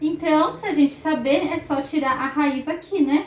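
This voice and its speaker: A woman is speaking. Her pace is fairly slow. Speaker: math teacher. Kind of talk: recorded lesson.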